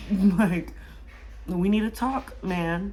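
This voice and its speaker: A woman with an American accent, recorded with audible room echo. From Inland Empire, Southern California. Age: 20s. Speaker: beauty vlogger and young mother. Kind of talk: casual Q&A vlog. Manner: animated.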